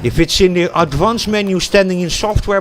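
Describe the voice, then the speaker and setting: With ordinary pitch variation and a moderate pace, a man talks as noticeable background noise runs underneath. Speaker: gaming streamer. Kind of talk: casual gameplay livestream commentary. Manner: hesitant, many fillers.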